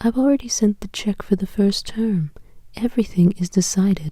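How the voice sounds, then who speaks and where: A woman's soothing, calm voice at a medium pitch, somewhat breathy, with a dark, mellow tone. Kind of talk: sleep story, audiobook reading.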